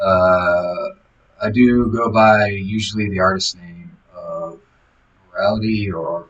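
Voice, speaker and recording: Mumbling at a fairly slow pace, a man keeps his intonation fairly even. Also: fairly low pitch for a man, big swings in loudness. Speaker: vlogger. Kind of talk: casual diary vlog monologue. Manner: halting, many fillers. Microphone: audio became bad after skip.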